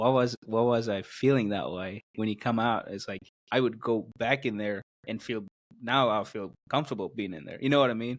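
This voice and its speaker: A man speaks at a moderate pace with a medium pitch and fairly even intonation. His loudness swings widely. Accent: Indian. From South India. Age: 20s. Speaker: podcast guest, video producer. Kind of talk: casual interview. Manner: halting, many fillers.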